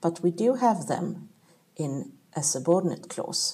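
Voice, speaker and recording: Speaking very slowly with a Swedish accent, a woman uses lively intonation in a dark, mellow, somewhat breathy voice. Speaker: language teacher. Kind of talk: tutorial. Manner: clear, deliberate explaining with pauses.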